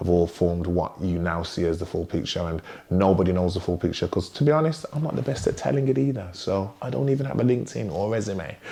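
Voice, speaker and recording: A man's very deep, low voice with a dark, mellow tone, an English accent, lively intonation and a very fast pace. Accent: English accent noticed by Americans. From West Midlands, England (Wolverhampton). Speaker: DJ and music artist. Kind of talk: interview. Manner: hesitant, many fillers.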